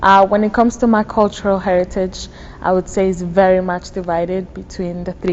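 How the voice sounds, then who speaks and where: Speaking with a Spanish accent, a woman keeps a medium pitch and monotone, flat intonation at a fairly quick pace. Noticeable background noise runs underneath. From Dominican Republic. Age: 20s. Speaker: university student. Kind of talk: interview.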